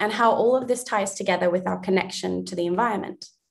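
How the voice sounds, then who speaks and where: A woman with an American accent. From USA and Australia. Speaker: panel host and filmmaker. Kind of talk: panel introduction.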